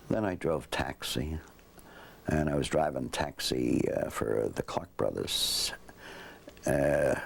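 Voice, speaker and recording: A man with a New York accent keeps his loudness very even while taking long, frequent pauses, with noticeable background noise behind him. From New York, Westchester County. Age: 70s. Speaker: war veteran. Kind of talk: interview. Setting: at home. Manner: halting.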